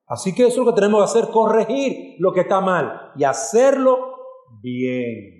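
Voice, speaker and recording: An animated man with a high pitch and very wide pitch swings, at a fairly slow pace, with audible room echo. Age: 40s. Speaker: pastor. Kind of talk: sermon.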